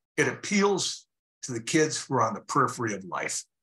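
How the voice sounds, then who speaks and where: With a bright, sharp tone, a man speaks at a fairly quick pace and uses lively intonation. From South Dakota. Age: 60s. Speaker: motivational speaker and author. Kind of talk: radio interview.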